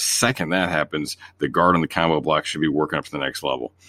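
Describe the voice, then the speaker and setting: A man's very deep, low voice with vocal fry and ordinary pitch variation, on a very clean recording with a silent background. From Northern Ohio. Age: 40s. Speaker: podcast host and football analyst. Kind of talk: casual film breakdown and chat.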